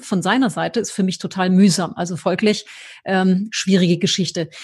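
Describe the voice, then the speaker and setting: A woman talks in a somewhat breathy voice. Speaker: podcast host, marketing specialist. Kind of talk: interview conversation. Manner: scripted intro and outro delivery.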